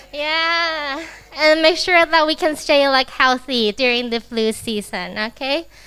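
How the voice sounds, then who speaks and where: A woman speaks in a raised, projected voice at a high pitch with ordinary pitch variation. Her pace is fairly slow, and there is noticeable background noise. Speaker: AI trainer for teachers. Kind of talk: workshop presentation. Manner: slow, deliberate enunciation.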